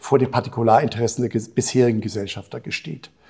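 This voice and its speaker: Somewhat breathy and dark, mellow in tone, a man's voice moves at a fairly quick pace. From Brazil (Rio de Janeiro). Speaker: health agency executive, physician. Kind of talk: interview conversation.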